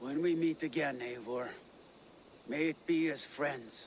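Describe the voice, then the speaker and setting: A man puts on a character voice with a fairly high pitch and fairly even intonation. He goes at a fairly slow pace over clear background noise. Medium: video game. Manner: solemn.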